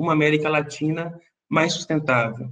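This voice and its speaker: Man with a Brazilian accent at a fairly slow pace, with audible room echo. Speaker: panel moderator. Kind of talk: panel discussion moderation. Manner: deliberately slow for interpreters; frequent filler 'é'.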